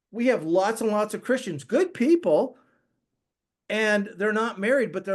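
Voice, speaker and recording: At a moderate pace, a man with an American accent speaks in a high pitch with lively intonation against a quiet background. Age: 60s. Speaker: regenerative agriculture expert, podcast guest. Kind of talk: podcast interview, casual conversation. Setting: podcast recording. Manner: conversational, with frequent false starts and repetitions.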